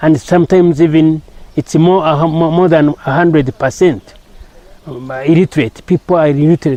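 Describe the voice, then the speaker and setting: A man's fairly high voice at a fairly quick pace, with fairly even intonation, a dry, close sound with no echo, and noticeable background noise. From Rwanda. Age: 60s. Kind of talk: interview. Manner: halting, many repetitions.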